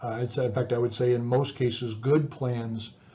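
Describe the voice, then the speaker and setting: A man speaks at a moderate pace with a medium-pitched voice. He sounds somewhat breathy. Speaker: psychology professor. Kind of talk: lecture. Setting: recorded video lecture with slides. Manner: halting, many repetitions and fillers.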